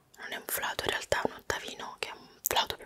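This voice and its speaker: A woman whispers in an intense tone at a fairly quick pace over light background noise. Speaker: vlogger. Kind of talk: casual vlog chat showing belongings. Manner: intense close-mic whisper. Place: home room. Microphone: studio mic.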